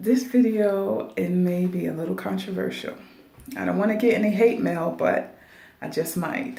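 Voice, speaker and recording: A quiet woman at a moderate pace, with audible room echo and noticeable background noise. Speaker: dialysis technician and video blogger. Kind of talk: casual advice monologue. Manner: quiet, talking low.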